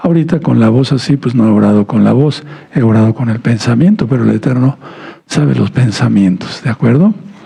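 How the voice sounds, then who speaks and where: Through noticeable background noise, a man talks at a fairly quick pace in a medium-pitched voice with ordinary pitch variation. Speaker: pastor. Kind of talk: sermon. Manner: subdued, not very expressive.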